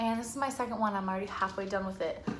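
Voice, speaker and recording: An animated woman with an American accent, fairly high-pitched with ordinary pitch variation, in a room with audible echo. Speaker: YouTuber. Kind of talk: casual vlog storytelling.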